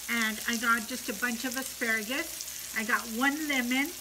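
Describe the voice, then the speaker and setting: A woman speaks at a fairly slow pace in a raised, projected voice. Noticeable background noise runs behind her. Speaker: mukbang vlogger. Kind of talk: casual vlog chat. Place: home room. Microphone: phone near.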